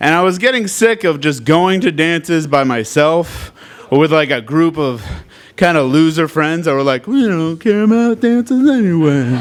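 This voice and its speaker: A man speaks at a moderate pace with a high pitch and lively intonation. Noticeable background noise runs behind him. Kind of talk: live storytelling performance. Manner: casual, comedic.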